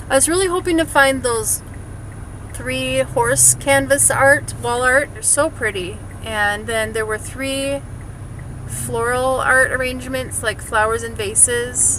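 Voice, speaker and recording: At a fairly slow pace, a woman talks with a slight Wisconsin accent. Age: 40s. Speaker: vlogger. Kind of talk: casual vlog chat. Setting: in a car.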